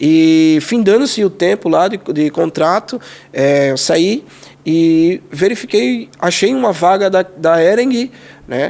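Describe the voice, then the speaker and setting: A man talks at a very slow pace in a high pitch. Background noise is noticeable. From Pernambuco, Brazil (Jaboatão dos Guararapes). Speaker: civil firefighter. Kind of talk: podcast interview.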